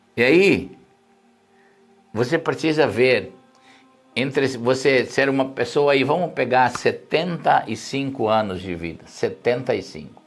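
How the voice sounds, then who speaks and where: Music plays in the background as someone speaks fairly slowly with lively intonation, long, frequent pauses and audible room echo. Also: man, medium pitch for a man. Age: 60s. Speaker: pastor. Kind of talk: sermon. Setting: live stream.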